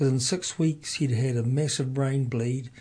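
A man's dark, mellow voice, somewhat breathy. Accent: New Zealand. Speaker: community radio host. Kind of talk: radio interview.

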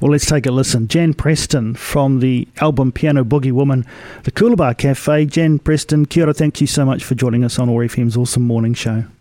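A man with a New Zealand accent talks at a fairly quick pace with a dark, mellow tone. His intonation is fairly even, his loudness very even, and the sound is dry and close with no echo. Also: medium pitch for a man, hardly any pauses. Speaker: radio host. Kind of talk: radio interview.

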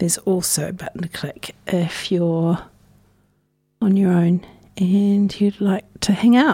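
At a fairly slow pace, a woman with a New Zealand accent speaks with fairly low pitch and fairly even intonation. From New Zealand, North Island (Hawke's Bay area). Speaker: community radio host. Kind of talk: casual radio chat between songs. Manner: relaxed, conversational.

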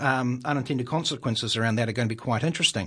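Against a quiet background, a man with a New Zealand accent speaks in a bright, sharp tone with ordinary pitch variation. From New Zealand, Wellington. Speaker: local councillor. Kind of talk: radio interview.

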